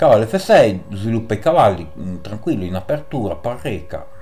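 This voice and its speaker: A man talks at a fairly slow pace, with light background noise behind him. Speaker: chess YouTuber. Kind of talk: chess game commentary. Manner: animated. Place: home room. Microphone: voice slightly quieter after mic settings change; webcam.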